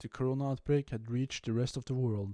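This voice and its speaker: Recorded very cleanly over a silent background, a man speaks in a dark, mellow tone. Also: dry, close sound with no echo. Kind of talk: gaming commentary narration. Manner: careful, tries not to stutter.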